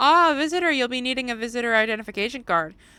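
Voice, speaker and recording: A female-sounding voice does a put-on character at a high pitch. The delivery comes at a very fast pace. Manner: bureaucratic, helpful.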